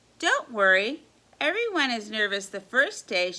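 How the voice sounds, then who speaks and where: A woman puts on a character voice that sits fairly high in pitch. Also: moderate pace, lively intonation. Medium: read story. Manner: brisk, authoritative.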